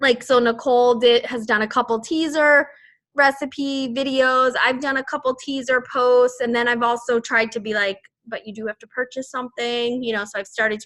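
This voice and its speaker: Captured on a very clean recording with a silent background, a woman with a Boston accent speaks in a high, bright, sharp voice with fairly even intonation and big swings in loudness. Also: moderate pace. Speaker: fitness team coach. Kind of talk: team call briefing. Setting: group call. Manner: casual, rambling with fillers.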